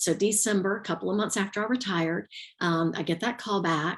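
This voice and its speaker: Ordinary pitch variation marks a woman's speech in a Southern US accent. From US South, Georgia (south Atlanta area). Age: 50s. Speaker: retired teacher and yoga instructor. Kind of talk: interview testimony. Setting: live video stream.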